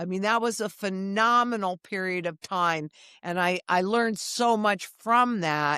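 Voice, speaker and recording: Recorded very cleanly against a silent background with a dry, close sound and no echo, a woman with an American accent speaks at a fairly slow pace in a bright, sharp, medium-pitched voice with ordinary pitch variation. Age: 70s. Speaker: economist. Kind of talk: interview.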